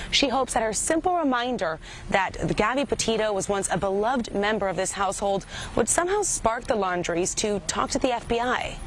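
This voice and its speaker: Her voice fairly high-pitched, a woman speaks at a fairly quick pace with lively intonation amid noticeable background noise. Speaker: TV news reporter. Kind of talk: TV news report / live broadcast.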